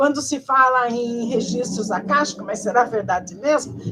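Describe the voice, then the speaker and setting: A woman at a moderate pace. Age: 70s. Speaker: spiritual video lecturer. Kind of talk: informal video lecture. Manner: casual, conversational with fillers.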